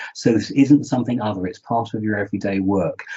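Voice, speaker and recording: This man talks with a British accent. His pitch varies in an ordinary way. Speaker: research integrity charity representative. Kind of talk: panel presentation. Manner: fast.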